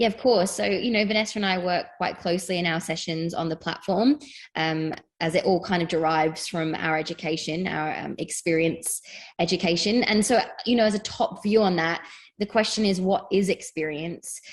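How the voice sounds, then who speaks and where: A woman in a British accent at a moderate pace. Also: medium pitch for a woman, ordinary pitch variation. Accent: British accent, noticeable. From England. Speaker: fitness educator. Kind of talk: interview.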